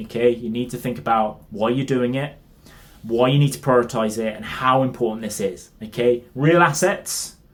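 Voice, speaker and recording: The speaker talks with a British accent and ordinary pitch variation. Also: man. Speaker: fitness coach. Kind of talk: tutorial. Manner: fast.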